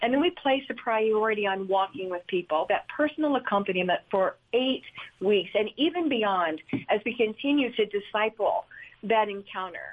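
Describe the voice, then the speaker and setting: Using a normal speaking voice, a woman talks with lively intonation at a fairly high pitch. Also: moderate pace. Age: 60s. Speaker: ministry leader. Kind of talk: studio interview.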